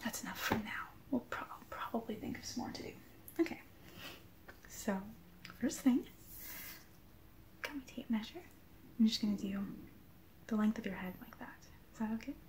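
Soft-spoken and fairly quick, a woman talks with ordinary pitch variation over light background noise. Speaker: vlogger. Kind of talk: casual vlog chat. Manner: soft, close ASMR speaking voice. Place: home room. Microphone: webcam.

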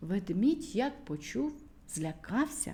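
Her tone dark and mellow, a woman speaks slowly with big pitch swings. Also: medium pitch for a woman.

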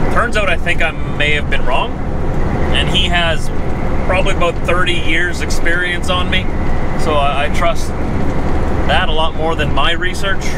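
Against loud background noise, a man speaks at a fairly slow pace with long, frequent pauses. The sound is dry, with no echo. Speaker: truck driver vlogger. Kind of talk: casual vlog chat. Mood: relaxed, fond. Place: car. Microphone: camera far.

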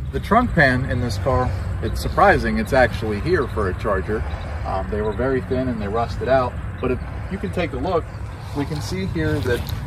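A man speaks at a moderate pace with noticeable background noise. The sound is dry, without echo. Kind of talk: tutorial. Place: open country.

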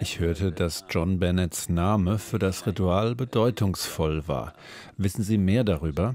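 This man has a low pitch and a slightly mellow tone. He speaks at a fairly slow pace with ordinary pitch variation.

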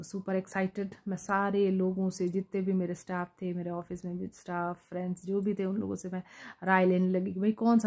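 In a dark, mellow tone, a woman speaks at a moderate pace with monotone, flat intonation against a quiet background. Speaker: storyteller vlogger. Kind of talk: casual vlog storytelling. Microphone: phone near.

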